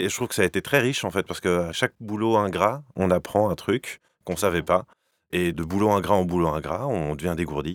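A man's very deep, low voice at a fairly quick pace, dry and close with no echo, on a very clean recording with a silent background. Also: ordinary pitch variation. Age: 30s. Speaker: entrepreneur, former HR director. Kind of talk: interview.

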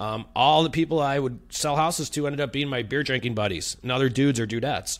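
With an American accent and lively intonation, a man talks at a very fast pace in a very clean recording with a silent background. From Chicago. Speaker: real estate video branding coach. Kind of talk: casual interview chat. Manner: casual, blunt, profane.

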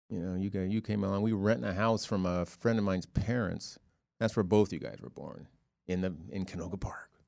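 A plain, everyday voice with an American accent, at a fairly quick pace, with fairly even intonation. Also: man, fairly low pitch for a man. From Ohio, US Midwest. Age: 60s. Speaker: father of the hosts. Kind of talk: casual chat.

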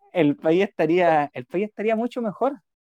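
A man with a Chilean accent, high pitch, lively intonation, and moderate pace, in a dry, close sound with no echo. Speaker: podcast co-host, psychologist. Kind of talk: casual chat.

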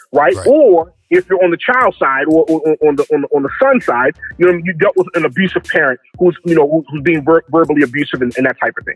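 With an American accent, a man talks at a very fast pace with hardly any pauses, lively intonation and a fairly high pitch, the sound dry and close with no echo and music in the background. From Baltimore, Maryland. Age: 40s. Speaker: photographer. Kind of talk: casual interview.

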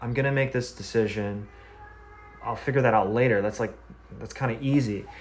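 A man with an American accent speaks at a fairly quick pace and a medium pitch, his intonation fairly even. Long, frequent pauses break up his speech, and there is noticeable background noise along with audible room echo. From US Midwest. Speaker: podcast host. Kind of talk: casual interview. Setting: video call.

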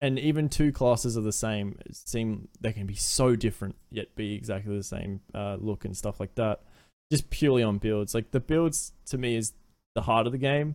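A man speaks with an Australian accent. His pace is moderate and his pitch variation ordinary. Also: medium pitch for a man. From Australia, Adelaide. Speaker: variety streamer and former amateur esports player. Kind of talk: casual chat.

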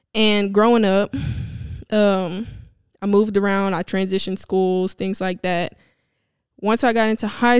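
A woman in a Louisiana accent at a moderate pace, monotone and flat, in a very clean recording with a silent background. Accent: Southern US (Louisiana). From Louisiana, US South. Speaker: podcast host. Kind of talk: solo personal monologue.

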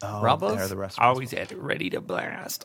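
Using a put-on, nasal character voice, a man speaks at a fairly low pitch and a fairly slow pace. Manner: forced, exaggerated.

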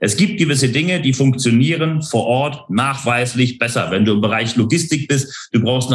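Somewhat breathy, a man speaks at medium pitch with ordinary pitch variation. His pace is moderate. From northern Germany, Hamburg. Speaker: leadership consultant. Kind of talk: interview conversation.

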